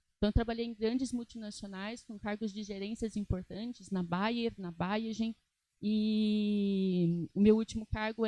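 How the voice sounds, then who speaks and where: A woman speaks at a fairly high pitch and moderate pace, somewhat breathy, with a dark, mellow tone. Her intonation is monotone and flat, and the sound is dry and close with no echo. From Brazil, interior of São Paulo state. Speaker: aesthetic nurse and lecturer. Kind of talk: lecture. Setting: stage with audience.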